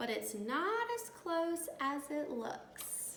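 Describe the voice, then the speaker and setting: A put-on character voice moves at a very slow pace with very wide pitch swings. Clear background noise is present. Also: woman, high pitch for a woman. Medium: read story.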